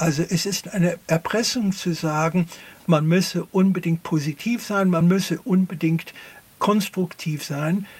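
A man speaks with a high pitch and fairly even intonation. His pace is fairly slow. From US, near Philadelphia. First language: English (speaking German). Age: 70s. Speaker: philosopher. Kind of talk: interview. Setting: studio.

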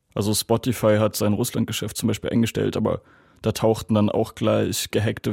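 A man speaks at a moderate pace in a fairly low, dark, mellow voice with vocal fry and flat, monotone intonation. The recording is very clean, dry and close, with no echo and a silent background. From Germany. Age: 20s. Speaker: student and German language teacher. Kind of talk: interview testimony.

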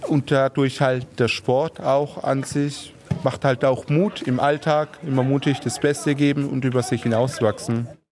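With music in the background, a man speaks fairly slowly at a fairly high pitch and with fairly even intonation. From Heilbronn, southwest Germany. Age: 30s. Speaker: amateur football goalkeeper. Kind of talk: interview.

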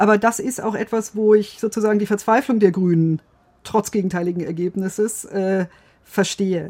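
A woman at a medium pitch speaks at a moderate pace. Her tone is dark and mellow, with fairly even intonation. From Bavaria, Germany. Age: 50s. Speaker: legal and political correspondent. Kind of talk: casual chat. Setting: studio.

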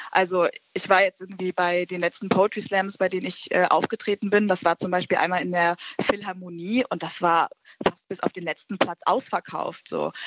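In a normal speaking voice, a woman of medium pitch talks at a moderate pace with fairly even intonation, the sound dry and close with no echo. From Berlin. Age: young. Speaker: poetry slam artist. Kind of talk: casual chat. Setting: studio.

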